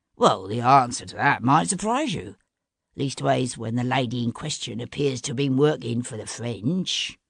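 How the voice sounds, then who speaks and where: A put-on character voice with a low-to-middle pitch at a moderate pace, against a quiet background. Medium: read story. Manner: cool, mocking.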